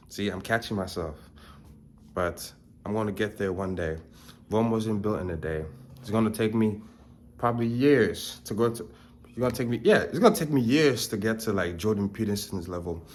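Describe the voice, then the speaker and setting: A man speaks at a fairly low pitch with ordinary pitch variation and long, frequent pauses. Audible room echo surrounds his voice. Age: 20s. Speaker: self-improvement vlogger. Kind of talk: casual vlog talk to camera. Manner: fast.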